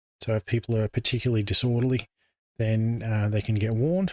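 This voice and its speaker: A somewhat breathy, medium-pitched man's voice, dry and close with no echo, on a very clean recording with a silent background. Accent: Australian. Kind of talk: informal explanatory talk.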